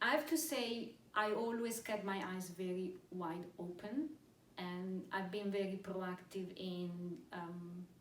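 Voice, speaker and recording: With a non-native accent and a somewhat breathy voice, the speaker talks at a very slow pace amid audible room echo. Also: woman, medium pitch for a woman, ordinary pitch variation. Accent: non-British foreign. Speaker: pharmaceutical executive. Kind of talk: interview. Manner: hesitant, many fillers and repetitions.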